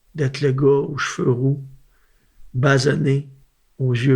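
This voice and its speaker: Somewhat breathy, a man speaks at a medium pitch and a very slow pace. His intonation is monotone and flat. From Gaspésie, Quebec. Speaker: country singer. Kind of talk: interview.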